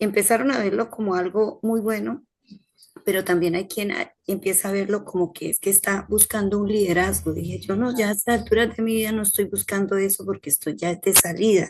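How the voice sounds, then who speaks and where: A soft-spoken woman talks at a medium pitch. She keeps a moderate pace. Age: 50s. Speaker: healthcare worker, course participant. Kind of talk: class discussion, personal account.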